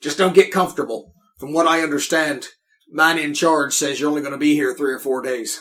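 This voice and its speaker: Putting on a raspy character voice, a man talks at a fairly quick pace with a fairly high pitch and fairly even intonation. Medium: actual play. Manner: chatty, folksy.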